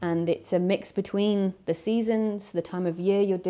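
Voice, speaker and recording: Speaking at a moderate pace with a Welsh accent, a woman has a dark, mellow tone and fairly even intonation. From Wales (mid Wales). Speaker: wilderness guide. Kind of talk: interview.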